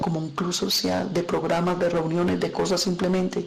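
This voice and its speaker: Noticeable background noise and audible room echo around a woman talking at a moderate pace. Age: 60s. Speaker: pastor. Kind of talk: sermon.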